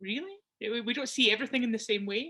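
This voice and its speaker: Bright and sharp in tone, a woman talks at a fairly quick pace with fairly high pitch and ordinary pitch variation. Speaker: community participant. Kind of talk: casual chat. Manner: halting.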